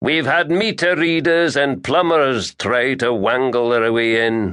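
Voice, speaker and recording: Putting on a character voice, a man growls at a medium pitch and a fairly slow pace. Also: quiet background. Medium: read story. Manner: slow-talking, growling.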